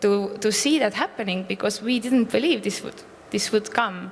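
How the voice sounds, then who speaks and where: A woman talks at a moderate pace with a fairly high pitch and fairly even intonation. There is noticeable background noise. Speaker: civic campaign communications head. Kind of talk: panel discussion.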